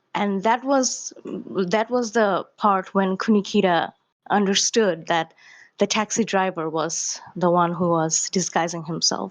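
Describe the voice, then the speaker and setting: In a quiet background, a woman with a non-native accent and medium pitch talks at a fairly slow pace with ordinary pitch variation. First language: not English. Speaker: caller to a livestream. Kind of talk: casual question on a stream call. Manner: halting, with self-corrections.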